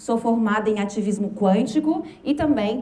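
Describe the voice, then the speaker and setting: A woman's fairly high voice at a moderate pace with ordinary pitch variation, plus audible room echo and noticeable background noise. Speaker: motivational speaker. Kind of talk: lecture. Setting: stage with audience.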